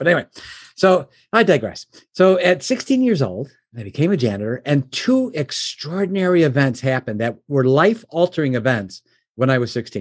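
A man with an unremarkable speaking voice and an American accent, lively in intonation and fairly quick in pace, against a quiet background. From Chicago suburbs, US Midwest. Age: 60s. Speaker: businessman and mentor. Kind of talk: casual interview, storytelling.

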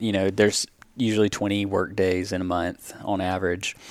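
A man at a fairly low pitch with a Southern US accent, monotone and flat, at a moderate pace. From US South. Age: 30s. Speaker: pest control business owner. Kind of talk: casual interview.

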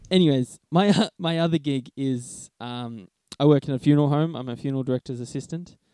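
A man speaks at a fairly quick pace. His voice sits fairly high, with ordinary pitch variation. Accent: Australian. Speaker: podcast co-host, Chinese medicine graduate. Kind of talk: casual chat.

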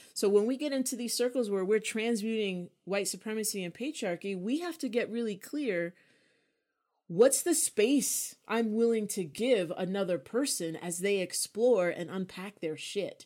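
In an unremarkable speaking voice, a woman with a fairly high pitch talks at a moderate pace with lively intonation, on a very clean recording with a silent background. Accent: American. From New York. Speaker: podcast co-host and writer. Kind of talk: casual chat.

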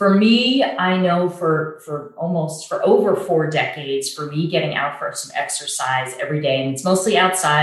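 A woman's very deep, low pitch with ordinary pitch variation, at a moderate pace, amid audible room echo. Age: 50s. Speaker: church and community leader. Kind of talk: casual interview.

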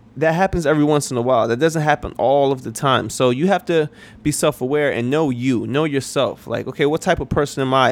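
A man talks fairly quickly in a normal speaking voice, his pitch fairly high and showing ordinary pitch variation. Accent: American. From New York. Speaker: podcast host, career advice. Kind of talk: solo podcast monologue. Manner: casual, filler-heavy.

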